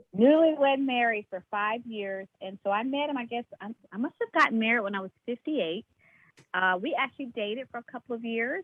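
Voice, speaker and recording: A woman talks at a fairly quick pace in a fairly high pitch. Hers is an ordinary speaking voice with ordinary pitch variation. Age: 60s. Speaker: caller. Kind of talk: casual chat.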